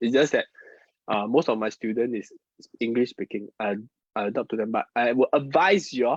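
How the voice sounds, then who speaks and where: A man with a Mandarin accent talks at medium pitch with ordinary pitch variation and a fairly quick pace. He leaves long, frequent pauses, and the sound is dry and close with no echo. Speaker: feng shui and Chinese metaphysics teacher. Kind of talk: live-streamed class. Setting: online live stream. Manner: halting, repeats words.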